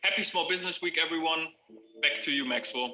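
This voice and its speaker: A man with a slight German accent talks over music in the background. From Germany. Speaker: video production trainer. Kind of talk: tutorial.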